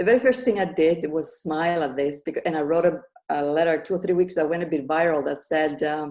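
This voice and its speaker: Speaking very fast with a non-native accent, a woman has a dark, mellow tone. Her pitch is fairly low, with ordinary pitch variation. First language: not English. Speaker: author and grief coach. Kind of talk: interview. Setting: live podcast with audience.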